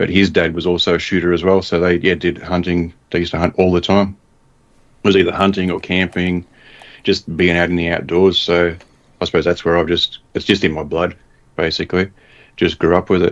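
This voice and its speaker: A man with an Australian accent has a very deep, low pitch. His intonation is monotone and flat. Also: fairly quick pace. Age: 40s. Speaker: bow hunter. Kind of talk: casual chat.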